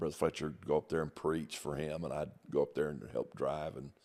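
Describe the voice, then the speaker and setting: This man speaks with an American accent and audible vocal fry. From US Midwest, southeast Missouri. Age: 60s. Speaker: pastor. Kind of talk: testimony. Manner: hesitant, with many fillers.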